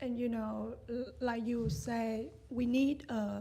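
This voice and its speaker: Against noticeable background noise and audible room echo, a woman with a Vietnamese accent talks at a very slow pace. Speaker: meditation student. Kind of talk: dharma talk sharing. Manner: halting.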